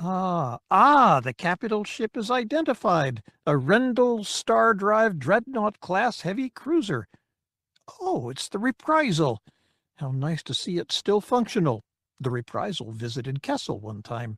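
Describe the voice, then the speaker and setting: Against a very clean, silent background, a man performs a high put-on character voice at a moderate pace with very wide pitch swings. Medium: read story. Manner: prim, fussy.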